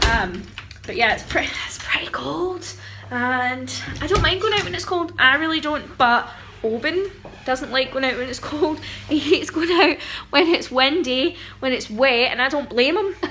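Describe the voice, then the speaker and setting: A raised, projected voice with lively intonation over light background noise. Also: woman, moderate pace. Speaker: parent vlogger. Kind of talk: casual vlog chat. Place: home room. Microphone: phone near.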